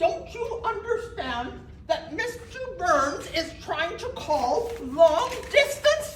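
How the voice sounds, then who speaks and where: An extremely high, put-on character voice with very wide pitch swings drags along at a very slow pace, with a slight echo and clear background noise. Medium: stage play. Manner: fussy, excitable.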